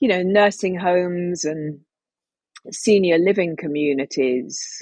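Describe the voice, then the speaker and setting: A woman with an ordinary speaking voice talks at a fairly slow pace, fairly low in pitch with ordinary pitch variation. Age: 50s. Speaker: former stand-up comic and tea business owner. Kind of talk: casual chat.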